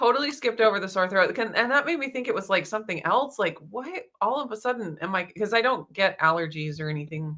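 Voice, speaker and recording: A woman talks very fast with hardly any pauses. Her fairly high voice is bright and sharp, with very wide pitch swings. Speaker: keto lifestyle vlogger. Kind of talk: casual chat. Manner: casual, with fillers.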